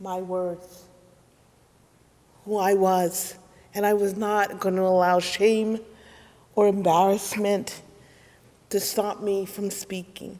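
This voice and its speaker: The speech comes at a very slow pace in a monotone, flat intonation, with long, frequent pauses and audible room echo. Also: woman, medium pitch for a woman. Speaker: minister. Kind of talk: sermon.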